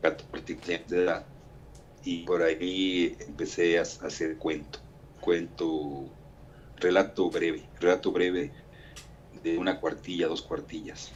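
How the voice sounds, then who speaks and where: With long, frequent pauses, a man speaks at a very deep, low pitch. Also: ordinary pitch variation, fairly slow pace. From Mexico. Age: 60s. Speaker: writer and architect. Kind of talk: interview.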